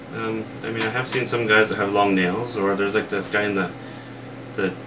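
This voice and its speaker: A soft-spoken man talks at a fairly quick pace in a fairly low pitch. Noticeable background noise and audible room echo surround him. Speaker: toy reviewer youtuber. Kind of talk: casual rant to camera. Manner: soft-spoken, quiet; hesitant, many fillers.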